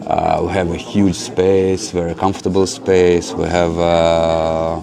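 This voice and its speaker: Against noticeable background noise, a man with a Russian accent speaks in a very deep, low pitch with monotone, flat intonation. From Ukraine, then Israel from age ten. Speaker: spiritual center director. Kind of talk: interview. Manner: hesitant, many fillers.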